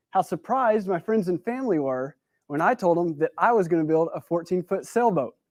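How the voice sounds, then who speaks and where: A man with a Texan accent speaks in a high voice with lively intonation, the sound dry and close with no echo against a quiet background. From West Texas. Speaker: speaker at a talk event. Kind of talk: prepared talk. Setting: stage with audience. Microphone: new mic.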